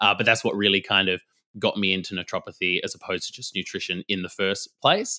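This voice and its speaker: Sounding dry and close with no echo, a man with an Australian accent speaks very fast. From Western Australia, rural. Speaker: nutritionist and naturopath. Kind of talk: casual interview.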